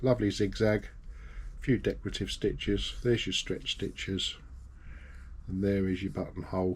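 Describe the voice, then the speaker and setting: A moderate pace with a British accent. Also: man. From UK. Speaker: sewing machine repairer. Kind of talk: tutorial. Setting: workshop. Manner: casual.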